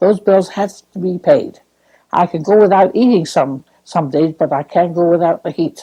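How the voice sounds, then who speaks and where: Talking at a moderate pace, a woman uses a fairly low pitch, a dark, mellow tone and ordinary pitch variation. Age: 80s+. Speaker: widowed senior citizen on social security. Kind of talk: documentary interview testimony.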